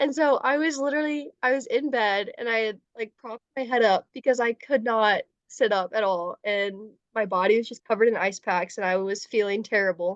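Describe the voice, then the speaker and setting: In a plain, everyday voice with an American accent, the speaker talks at a fairly quick pace with ordinary pitch variation. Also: woman, fairly high pitch for a woman, dry, close sound with no echo. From US Midwest. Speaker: college student, podcast guest. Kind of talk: casual chat.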